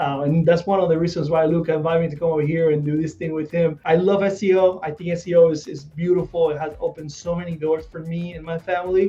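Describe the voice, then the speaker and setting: A man with a Spanish accent speaks at a very fast pace with hardly any pauses, his voice high for a man and his intonation flat and monotone, over noticeable background noise. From Puerto Rico. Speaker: SEO specialist. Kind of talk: casual video chat interview.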